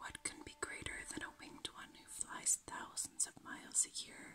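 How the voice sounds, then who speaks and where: Fairly slow pace, all in a whisper. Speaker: ASMR creator. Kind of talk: ASMR video. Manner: whispered. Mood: calm, gentle, soothing. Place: home room.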